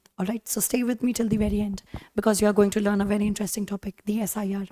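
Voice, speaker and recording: A woman's fairly high voice in an Indian accent, dark and mellow in tone, with a dry, close sound and no echo. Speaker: teacher. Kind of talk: lecture.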